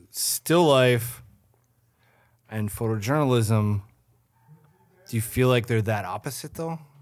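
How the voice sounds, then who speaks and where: A man with an Upper Midwest accent talks at a very slow pace. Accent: Upper Midwest (Minnesota). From Minnesota, St. Cloud. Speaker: podcast host. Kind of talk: casual chat. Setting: studio.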